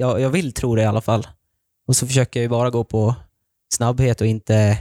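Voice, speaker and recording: A man's dark, mellow voice at medium pitch, fairly quick in pace with fairly even intonation, dry and close with no echo, on a very clean recording with a silent background. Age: 20s. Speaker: ice hockey player. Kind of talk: interview.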